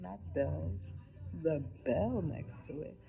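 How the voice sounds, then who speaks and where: A woman is speaking. She whispers. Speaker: vlogger and truck driver. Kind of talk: casual vlog story time. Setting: urgent care waiting room. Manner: whispering.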